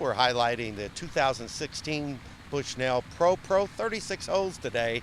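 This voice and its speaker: At a fairly quick pace, a man speaks in a plain, everyday voice with lively intonation. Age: 40s. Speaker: golf TV show host. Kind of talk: on-location interview.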